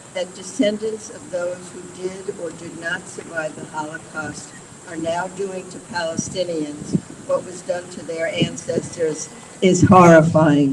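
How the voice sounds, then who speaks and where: A woman's fairly low voice in an American accent, at a fairly slow pace, with fairly even intonation, big swings in loudness and noticeable background noise. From New York City. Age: 70s. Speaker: retired attorney. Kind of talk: press conference speech. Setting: outdoors.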